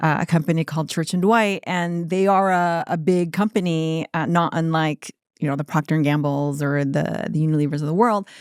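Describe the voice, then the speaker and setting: A woman with a plain, everyday voice speaks at a fairly low pitch with ordinary pitch variation, hardly pausing, on a very clean recording with a silent background. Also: fairly quick pace, dry, close sound with no echo. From United States (Korean American, moved at age three). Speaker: entrepreneur, skincare brand founder. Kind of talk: interview. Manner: casual, with many fillers.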